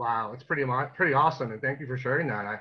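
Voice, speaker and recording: With a Canadian accent and a bright, sharp tone, a man speaks at a very fast pace against a quiet background. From Canada. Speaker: interviewer. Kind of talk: casual chat. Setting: video call. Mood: appreciative, enthusiastic. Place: home room. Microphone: video call.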